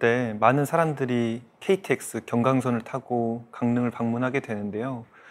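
A man speaks at a very slow pace, his medium pitch rising and falling in an ordinary way. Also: hardly any pauses. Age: 30s. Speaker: startup founder. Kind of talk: panel discussion. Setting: studio.

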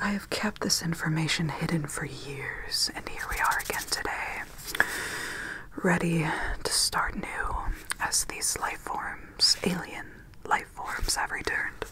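A soft-spoken woman whispers at a fairly slow pace, with long, frequent pauses. Loud background noise sits behind her. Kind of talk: ASMR role-play narration. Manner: soft close-mic ASMR whisper. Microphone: studio mic.

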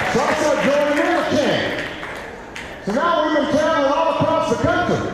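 A man with an American accent talks at a moderate pace amid loud background noise and audible room echo. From United States. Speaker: politician. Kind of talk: campaign speech anecdote. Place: hall.

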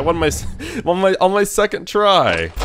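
Music plays in the background. A man speaks over it at a fairly slow pace. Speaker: gamer. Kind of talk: let's play commentary.

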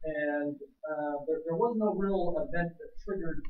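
Audible room echo surrounds a voice delivered at a moderate pace. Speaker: presenter. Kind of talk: class presentation. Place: classroom. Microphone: camera far.

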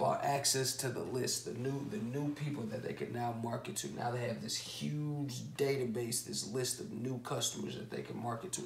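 A man talks at a fairly quick pace with hardly any pauses, over light background noise and audible room echo. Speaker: online business educator. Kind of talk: lecture. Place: home room. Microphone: camera far.

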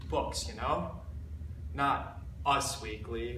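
Noticeable background noise accompanies the man as he talks. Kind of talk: monologue performance. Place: empty room. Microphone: camera far.

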